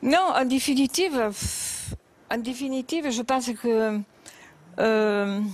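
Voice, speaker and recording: A woman talks at a high pitch and a very slow pace. Long, frequent pauses break up her speech. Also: ordinary pitch variation. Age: 70s. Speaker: talk show guest. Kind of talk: tv interview testimony. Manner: halting.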